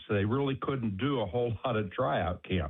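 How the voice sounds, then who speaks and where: Speaking with an American accent, a man uses a medium pitch with ordinary pitch variation. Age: 60s. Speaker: caller. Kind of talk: phone-in anecdote.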